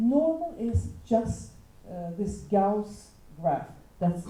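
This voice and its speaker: There is audible room echo around a woman who speaks at a medium pitch with a non-native accent. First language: not English. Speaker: teacher. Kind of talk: panel talk. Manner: halting.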